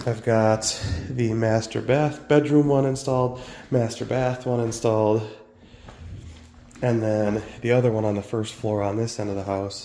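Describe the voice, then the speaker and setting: With audible room echo, a man speaks at a moderate pace and medium pitch, fairly even in intonation, leaving long, frequent pauses. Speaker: homestead vlogger. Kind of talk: casual vlog narration. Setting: house under renovation, attic. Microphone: muffled by face mask.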